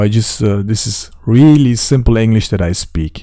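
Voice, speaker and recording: At a medium pitch, a man with a non-native accent speaks fairly slowly in a dark, mellow tone with ordinary pitch variation. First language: not English; German and Turkish. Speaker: crypto trading youtuber. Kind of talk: trading tutorial. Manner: casual.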